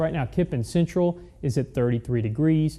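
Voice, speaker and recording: Fairly high in pitch, a man talks in a normal speaking voice at a fairly quick pace with lively intonation. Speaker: chief meteorologist, TV weather forecaster. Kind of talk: TV weathercast presentation.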